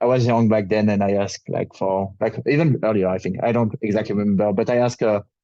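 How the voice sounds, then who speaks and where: The voice has a dark, mellow tone. It comes with a French accent. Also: man. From France. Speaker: crypto project ecosystem lead. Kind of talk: panel discussion. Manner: halting.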